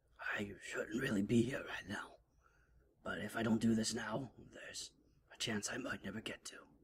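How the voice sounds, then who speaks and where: Using a put-on character voice, a man growls in a raspy, rumbling tone at a medium pitch, moving at a moderate pace with long, frequent pauses. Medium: read story. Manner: rumbling, growly.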